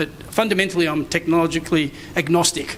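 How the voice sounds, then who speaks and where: Noticeable background noise sits behind a man whose high-pitched delivery stays fairly even in intonation. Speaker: conference speaker, digital strategy consultant. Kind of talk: conference presentation. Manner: fast.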